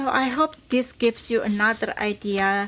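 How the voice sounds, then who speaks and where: A woman with a non-native accent, fairly high pitch and ordinary pitch variation, over noticeable background noise. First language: not English. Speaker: crafter, tutorial host. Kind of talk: crafting tutorial. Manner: halting, fumbling.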